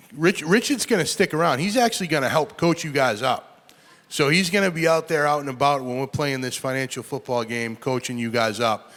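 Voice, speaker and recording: Speaking at a fairly quick pace with a Boston accent, a man uses lively intonation at a fairly high pitch. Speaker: state senator hosting event. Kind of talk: event hosting speech.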